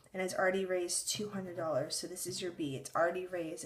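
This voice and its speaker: A somewhat breathy woman's voice at medium pitch, with ordinary pitch variation. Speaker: math teacher. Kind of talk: tutorial.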